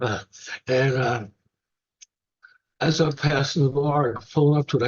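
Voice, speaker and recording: The speaker has a New York accent. The voice is somewhat breathy. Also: man. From New York, the Bronx. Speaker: recovering alcoholic sharing his story. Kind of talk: testimony at a recovery meeting. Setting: meeting with audience. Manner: casual, humorous storytelling.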